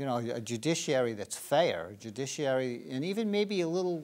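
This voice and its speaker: In a plain, everyday voice, a man with fairly high pitch speaks at a fairly quick pace with lively intonation on a very clean recording with a silent background. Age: 60s. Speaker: political candidate. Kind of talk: interview. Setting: studio.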